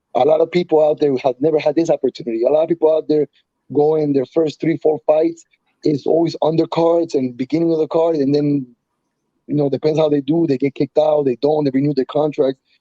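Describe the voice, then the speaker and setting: The speaker has a Spanish accent and talks at a fairly quick pace with monotone, flat intonation. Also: man, fairly high pitch for a man, very even loudness. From Colombia. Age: 30s. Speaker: professional MMA fighter. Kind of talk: casual interview. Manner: fast, halting with frequent repetitions and fillers.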